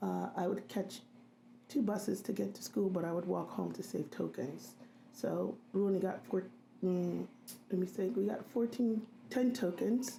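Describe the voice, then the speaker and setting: A woman's dark, mellow voice at a medium pitch, with vocal fry and a moderate pace. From Philadelphia, US. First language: Haitian Creole. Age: 50s. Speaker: registered nurse. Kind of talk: interview. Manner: hesitant, many fillers.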